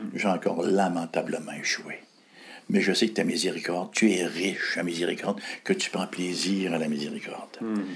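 A man's very deep, low voice holds fairly even intonation. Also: moderate pace. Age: 60s. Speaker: pastor. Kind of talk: interview.

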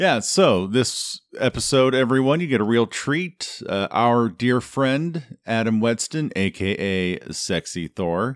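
Recorded very cleanly with a silent background and a dry, close sound with no echo, a man with an unremarkable speaking voice talks at a fairly slow pace, with a medium pitch and lively intonation. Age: 40s. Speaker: podcast co-host. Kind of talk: casual chat.

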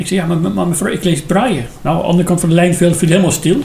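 Amid noticeable background noise and audible room echo, a man speaks in a high pitch. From Iran. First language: Persian (speaking Dutch). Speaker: former judge and politician, refugee. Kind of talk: interview.

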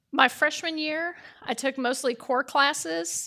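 A woman's raised, projected voice, high in pitch and bright and sharp in tone, with an American accent. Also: very clean recording, silent background. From Chicago, US. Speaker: church member giving testimony. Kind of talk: testimony. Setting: church with congregation.

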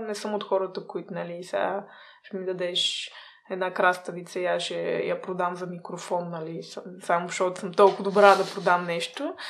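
Noticeable background noise sits under the recording. A woman talks at a medium pitch. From small town in Bulgaria. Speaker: food-waste startup co-founder. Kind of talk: interview. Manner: hesitant, many filler sounds.

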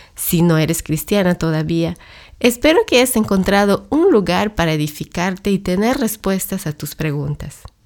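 A woman at medium pitch, in a normal speaking voice, at a moderate pace, with lively intonation. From Latin America. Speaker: podcast host and church ministry worker. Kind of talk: scripted monologue.

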